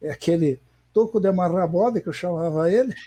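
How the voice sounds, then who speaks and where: Recorded dry and close with no echo, a man speaks in a dark, mellow tone with ordinary pitch variation. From Paraná, Brazil (Londrina). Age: 60s. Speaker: veteran table football player and former federation president. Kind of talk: interview. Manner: halting.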